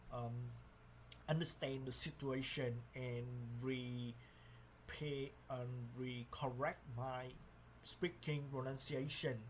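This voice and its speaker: Speaking at a very slow pace, a man uses a medium pitch and monotone, flat intonation, and sounds somewhat breathy. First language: not English. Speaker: English learner. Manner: halting.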